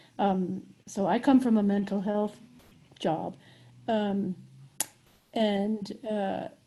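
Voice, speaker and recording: A woman speaks very slowly in a dark, mellow, somewhat breathy voice of medium pitch, with fairly even intonation and long, frequent pauses. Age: 70s. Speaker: mental health professional. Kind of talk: online group discussion.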